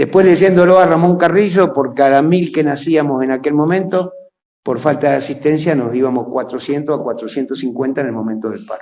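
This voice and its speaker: The man's tone comes across dark and mellow. He talks at a fairly quick pace. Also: fairly high pitch for a man, ordinary pitch variation. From Argentina, provinces (railway town). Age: 70s. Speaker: historian and lecturer. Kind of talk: lecture.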